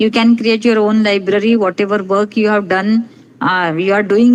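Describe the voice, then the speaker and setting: A woman speaks in a plain, everyday voice. Her pitch is fairly high and her pace fairly slow. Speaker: resource person at academic webinar. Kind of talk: lecture-style software tutorial. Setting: online webinar.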